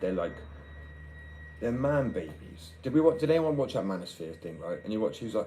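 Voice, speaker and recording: A man talks with very wide pitch swings and long, frequent pauses. Noticeable background noise is present. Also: fairly quick pace. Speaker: livestreamer.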